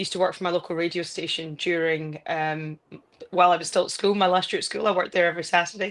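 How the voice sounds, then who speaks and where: Talking at a very fast pace, a woman holds a monotone, flat intonation at a fairly low pitch. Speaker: football pundit and broadcaster. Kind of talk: casual interview chat.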